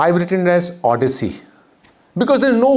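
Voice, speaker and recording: A man talks at a fairly quick pace with a fairly high pitch. There is audible room echo. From northern India (Uttar Pradesh). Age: 50s. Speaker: speaker and documentary maker. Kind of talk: lecture.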